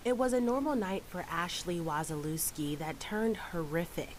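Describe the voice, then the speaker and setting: A woman's fairly low voice at a moderate pace, with ordinary pitch variation and an ordinary speaking voice. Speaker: news anchor and reporter. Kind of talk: TV news package narration.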